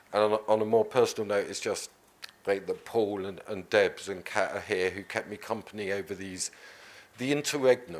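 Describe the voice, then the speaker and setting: This man speaks in a mumble at a moderate pace. His pitch is fairly low, with ordinary variation. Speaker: politician. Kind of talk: panel talk. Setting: conference stage with audience. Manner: mumbling.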